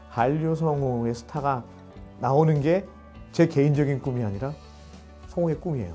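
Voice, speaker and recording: Music in the background behind a man's fairly high voice, moderate pace, ordinary pitch variation and long, frequent pauses. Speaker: voice actor. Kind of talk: interview answer.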